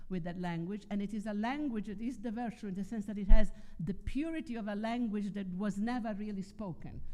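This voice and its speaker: A woman with an Italian accent speaks at a fairly quick pace in a medium-pitched voice, dark and mellow in tone, with big swings in loudness. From Italy. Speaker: philosopher and writer. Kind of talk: conference talk.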